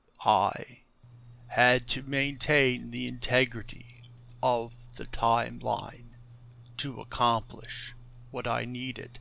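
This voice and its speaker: A man puts on a character voice at medium pitch, speaking at a fairly slow pace with long, frequent pauses. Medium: actual play. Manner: calm, grandiose, condescending.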